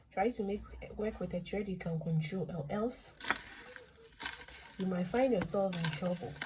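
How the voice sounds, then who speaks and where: A woman with a fairly low voice speaks quietly over noticeable background noise. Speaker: bead craft tutorial maker. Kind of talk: tutorial. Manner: talking louder than usual; uneven loudness, voice goes down and up.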